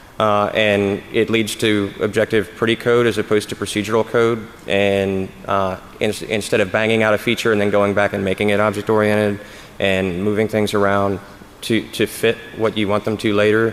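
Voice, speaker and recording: This man talks at a moderate pace with a fairly low pitch, over noticeable background noise. His loudness stays very even and his intonation is monotone and flat. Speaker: conference speaker on security. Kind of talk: conference talk Q&A. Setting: stage with audience. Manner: halting, many fillers and restarts.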